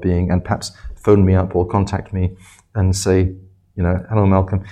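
Speaking fairly quickly with an English accent, a man has a very deep, low pitch, a dark, mellow tone and vocal fry. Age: 70s. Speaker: professor. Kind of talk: interview.

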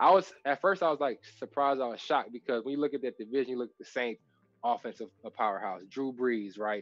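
In an American accent, someone talks at a very fast pace with ordinary pitch variation over background music. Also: man. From Texas. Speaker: former NFL safety and podcast host. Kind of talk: casual chat.

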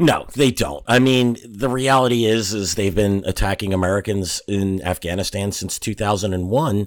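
A man talks at a moderate pace in an unremarkable speaking voice, fairly low in pitch with ordinary pitch variation and hardly any pauses. The recording is very clean, with a silent background. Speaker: co-host, analyst. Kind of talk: casual chat.

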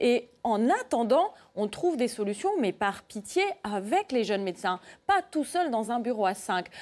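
A woman speaks at a fairly slow pace in a fairly high pitch, her pitch swinging very widely while her loudness stays very even. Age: 30s. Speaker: doctor. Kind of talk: televised debate. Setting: TV studio.

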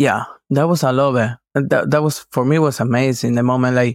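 On a very clean recording with a silent background, a man with a Spanish accent talks at a moderate pace with fairly even intonation. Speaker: fellow pilgrim. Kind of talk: casual chat. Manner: halting.

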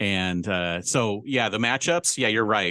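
A man speaks with a bright, sharp tone at a moderate pace. The background is quiet. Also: dry, close sound with no echo. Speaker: podcast co-host. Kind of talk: casual chat.

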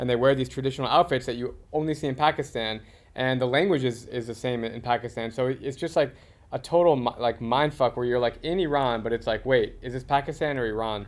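Speaking very fast with an American accent, a man keeps a medium pitch with ordinary variation. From Arizona. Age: 30s. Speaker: podcast host and travel content creator. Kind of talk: casual chat.

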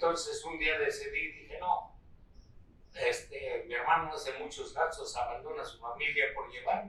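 The speaker uses a central Mexican accent at a moderate pace, with big swings in loudness. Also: man. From Central Mexico, State of Mexico. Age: 80s+. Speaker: rancher and former cyclist. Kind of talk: interview. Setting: at his ranch. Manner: halting.

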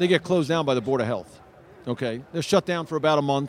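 The man talks at a very fast pace in a dry, close sound with no echo. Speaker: sports radio host. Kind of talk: casual interview.

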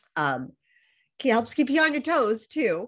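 A woman with an American accent speaks at a fairly slow pace with very wide pitch swings over a quiet background. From Los Angeles, US. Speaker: high performance coach. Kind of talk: casual interview chat. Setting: video call.

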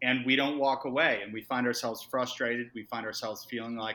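A man with an American accent speaks with a bright, sharp tone at a medium pitch and fairly even intonation. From Massachusetts. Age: 40s. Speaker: startup founder and CEO. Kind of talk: podcast interview.

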